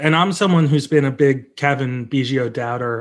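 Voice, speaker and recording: A man's ordinary speaking voice, at a medium pitch and moderate pace, with ordinary pitch variation. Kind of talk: casual interview chat. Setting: video call. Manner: rambling, self-correcting.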